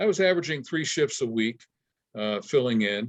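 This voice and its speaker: In an ordinary speaking voice, a man speaks at medium pitch and a moderate pace, with a dry, close sound and no echo. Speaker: retired disc jockey. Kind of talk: interview answer. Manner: casual, conversational.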